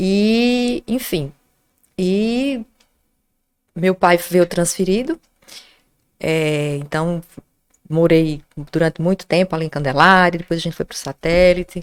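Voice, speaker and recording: Speaking at a very slow pace with long, frequent pauses, a woman with a fairly low pitch and ordinary pitch variation sounds dry and close, with no echo. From Natal, Rio Grande do Norte, Brazil. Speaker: journalist, professor and Wiccan witch. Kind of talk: casual interview chat.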